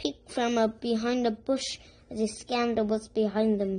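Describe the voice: What we hear is plain reading aloud.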